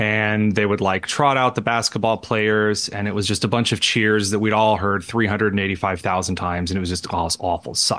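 A man speaks in a fairly low voice with a Midwestern American accent. Noticeable background noise runs behind him. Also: fairly even intonation. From Indiana, rural. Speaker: radio host and columnist. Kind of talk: casual interview chat. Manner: halting, many fillers.

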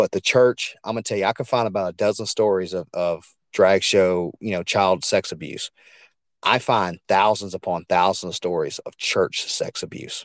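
Here a man talks in an animated tone at a moderate pace. The sound is dry and close with no echo and a quiet background. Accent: Louisiana. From Louisiana, US South. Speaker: podcaster and truck driver. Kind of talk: casual interview chat.

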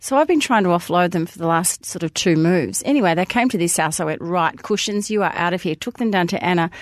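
Very fast speech with ordinary pitch variation, in a dry, close sound with no echo. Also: woman, fairly low pitch for a woman. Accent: Australian. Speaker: podcast co-host. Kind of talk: casual chat. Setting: studio.

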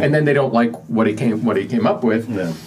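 A man with an American accent at medium pitch, his pitch swinging very widely, with audible room echo and noticeable background noise. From Pennsylvania (Johnstown). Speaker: author. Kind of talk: interview.

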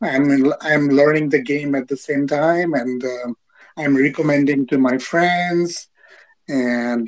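A man's fairly high voice moves at a very slow pace, its pitch rising and falling in an ordinary way. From United States. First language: English (speaking Japanese). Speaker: metaverse investor. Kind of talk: casual chat.

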